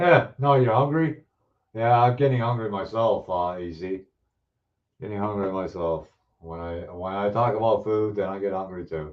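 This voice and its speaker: A man's fairly low pitch with lively intonation, big swings in loudness and a moderate pace. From Ontario, Canada (Hamilton). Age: 60s. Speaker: model car builder, live streamer. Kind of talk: casual live chat reading viewer comments. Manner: halting, many fillers and restarts.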